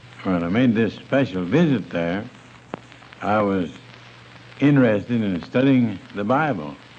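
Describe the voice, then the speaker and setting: Amid noticeable background noise, a man with a fairly low pitch speaks very slowly, his intonation lively. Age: 70s. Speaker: church leader. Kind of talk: interview answer.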